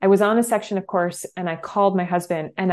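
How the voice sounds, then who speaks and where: Against a quiet background, a woman with an American accent talks at a fairly quick pace, with medium pitch and a normal speaking voice. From New Hampshire, US. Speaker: ultrarunning coach. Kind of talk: casual chat.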